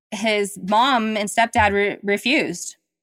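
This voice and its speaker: On a very clean recording with a silent background, a woman speaks with an American accent. Her pitch is medium. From US South. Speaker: storyteller sharing personal experience. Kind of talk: personal testimony.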